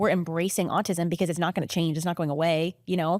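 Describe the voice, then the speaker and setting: A dry, close sound with no echo and a fairly quick pace. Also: woman. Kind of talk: podcast interview. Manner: talks a lot and loudly, by own account; fast, chatty, many fillers.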